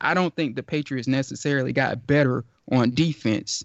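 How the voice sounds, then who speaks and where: Speaking in an unremarkable speaking voice with an American accent, a man with a fairly high pitch keeps a moderate pace and fairly even intonation. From Georgia, US. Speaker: sports writer and podcast host. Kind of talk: casual sports talk.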